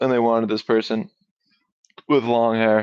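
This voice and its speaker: A man's voice at a medium pitch. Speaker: talk show host. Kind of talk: solo livestream talk. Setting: livestream. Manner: monotone; casual, hesitant.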